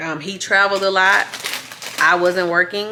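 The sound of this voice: Her pitch sits fairly low and her tone is bright and sharp. The woman keeps a moderate pace with fairly even intonation.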